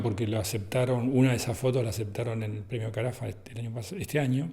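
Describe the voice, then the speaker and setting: The man's voice is somewhat breathy. He keeps his intonation fairly even. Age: 60s. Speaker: photographer. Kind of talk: interview. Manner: halting.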